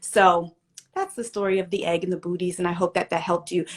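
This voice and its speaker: A woman speaks in an animated tone. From Pennsylvania, US. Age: 40s. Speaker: live show host. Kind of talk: casual livestream chat.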